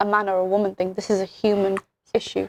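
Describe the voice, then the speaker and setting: A woman in a British accent at a fairly quick pace, with a dry, close sound and no echo. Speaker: podcast host. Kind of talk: casual chat. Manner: animated.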